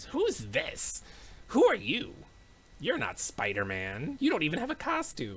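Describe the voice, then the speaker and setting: A man uses a put-on character voice. He talks at a moderate pace. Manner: annoyed, dismissive.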